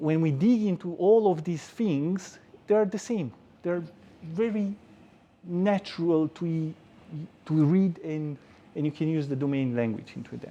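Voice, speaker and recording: A man in a Romanian accent, high-pitched with a dark, mellow tone, ordinary pitch variation and a fairly slow pace. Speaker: software engineer giving a tech talk. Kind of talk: conference talk. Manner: hesitant with frequent repetitions.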